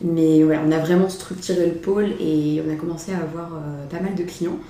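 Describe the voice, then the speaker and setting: A woman speaks in a fairly low pitch with monotone, flat intonation. Audible room echo and noticeable background noise fill the recording. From France, Mayenne. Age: 20s. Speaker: entrepreneur. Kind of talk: casual chat. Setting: office.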